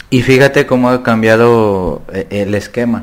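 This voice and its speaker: This man's pitch is medium. He talks at a very slow pace. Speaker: podcast host and psychology lecturer. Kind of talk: casual chat.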